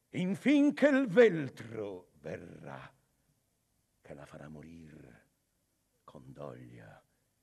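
In a hoarse, put-on character voice, a man speaks at a very slow pace with very wide pitch swings. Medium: audio drama. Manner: calm, authoritative, reassuring.

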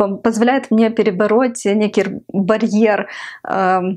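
Speaking very slowly in a Ukrainian accent, a woman uses a fairly high pitch and ordinary pitch variation against a quiet background. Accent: Ukrainian accent in Russian. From Ukraine. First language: Ukrainian (speaking Russian). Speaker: video blogger. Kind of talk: vlog monologue to camera; casual vlog chat. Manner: hesitant with many fillers. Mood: reflective, slightly playful.

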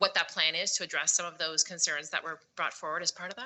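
Here a woman talks at a fairly quick pace. Her pitch is fairly low. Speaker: school board trustee. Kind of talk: board meeting questions. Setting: board meeting. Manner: fast.

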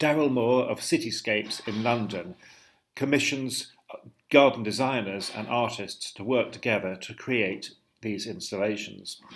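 Speaking at a fairly slow pace, a man with an ordinary speaking voice and medium pitch shows big swings in loudness. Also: ordinary pitch variation. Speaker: co-host of gardening webinars. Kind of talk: casual chat. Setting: video call.

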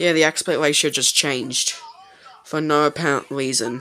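The tone is bright and sharp, delivered at a moderate pace with fairly even intonation.

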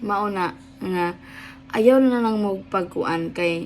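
A woman's medium-pitched voice, very slow in pace, with lively intonation. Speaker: vlogger. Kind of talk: casual vlog talk. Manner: rambling, hesitant with fillers; laughing often.

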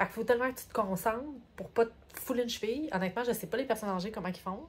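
A somewhat breathy woman with a Quebec accent, an animated tone and ordinary pitch variation, over light background noise. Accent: Québécois French. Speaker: vlogger. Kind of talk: travel vlog. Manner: casual, animated. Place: home room. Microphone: phone near.

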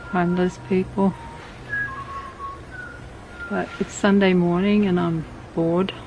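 Over noticeable background noise, a woman speaks at a very slow pace, in a dry sound with no echo. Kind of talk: casual vlog chat. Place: garden. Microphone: phone near.

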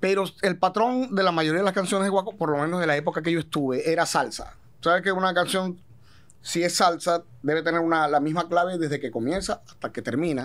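A high-pitched male voice at a fairly quick pace, with ordinary pitch variation. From Venezuela. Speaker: singer, gaita musician. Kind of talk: casual interview chat. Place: studio. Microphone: studio mic.

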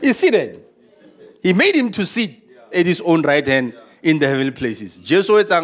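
Pitched high, this man's voice swings very widely up and down. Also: moderate pace. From South Africa. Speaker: pastor. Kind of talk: sermon. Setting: church. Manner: animated. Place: church. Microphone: handheld.

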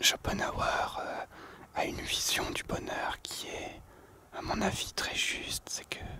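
Very slow whispering against noticeable background noise. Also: man. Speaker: nature and outdoors vlogger. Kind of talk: casual talk to camera, musing philosophically. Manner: whispered, soft-spoken.

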